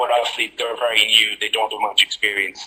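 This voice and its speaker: A man speaks at a very fast pace. He has an Irish accent. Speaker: clinical pharmacist. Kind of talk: lecture.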